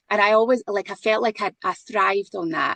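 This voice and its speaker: The sound is close and dry, without any echo. A woman speaks fairly quickly in it. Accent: Scottish. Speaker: podcast co-host. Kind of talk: casual chat.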